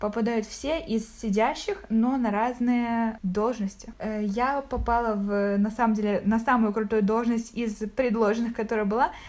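A woman with a plain, everyday voice, fairly high in pitch, at a fairly slow pace, with fairly even intonation and very even loudness. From Ukraine, Zaporizhzhia. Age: 20s. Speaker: podcast guest, corporate manager. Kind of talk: casual chat. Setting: call.

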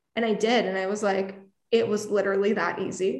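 Room echo is audible as a woman talks with a fairly high pitch. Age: 20s. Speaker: actress, influencer and music PR consultant. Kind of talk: casual interview.

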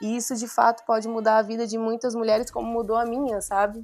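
This woman's voice sits at a fairly high pitch. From Brazil, Mato Grosso. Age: 30s. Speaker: artist and fashion designer. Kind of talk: interview conversation.

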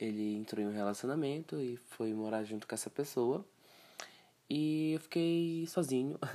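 At a moderate pace, a man with a dark, mellow tone and medium pitch speaks with lively intonation. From Brazil, Pará (Castanhal). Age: 20s. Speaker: podcaster. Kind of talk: casual monologue.

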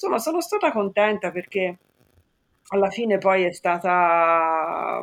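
With long, frequent pauses, a woman talks at a fairly slow pace and a medium pitch. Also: ordinary pitch variation. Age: 50s. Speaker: office worker, client sharing weight-loss story. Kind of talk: interview testimony.

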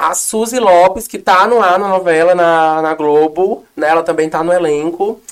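In an unremarkable speaking voice, a woman moves at a moderate pace while her pitch varies in an ordinary way. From Northeast Brazil. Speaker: actress and activist. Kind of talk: casual interview. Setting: studio. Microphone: too far from the mic.

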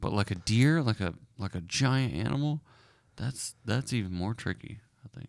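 This very clean recording with a silent background captures a man in a normal speaking voice. He talks at a moderate pace with lively intonation. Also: medium pitch for a man. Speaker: podcast host. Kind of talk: casual chat.

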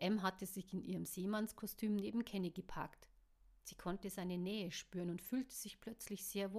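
With fairly even intonation, the reading aloud is plain.

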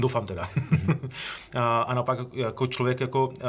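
A man's medium-pitched, somewhat breathy voice with fairly even intonation. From Czech Republic, Ostrava region (Orlová). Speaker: bank chief economist. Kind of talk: interview. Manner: fast.

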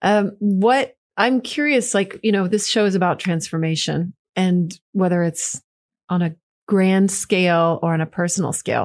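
Moderate pace and ordinary pitch variation from a woman at medium pitch, on a very clean recording with a silent background. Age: 40s. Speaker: podcast host. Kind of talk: casual interview. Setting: in-person studio. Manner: animated.

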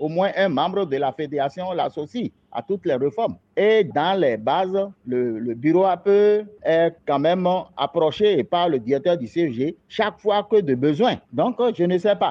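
A man talks at a fairly slow pace. His pitch is high. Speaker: parents' association president. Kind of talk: recorded interview.

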